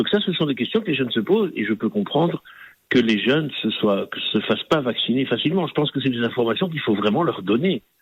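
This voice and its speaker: Speaking very fast, a man at medium pitch makes very wide pitch swings. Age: 40s. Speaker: digital marketing agency owner. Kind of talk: radio interview. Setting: radio studio.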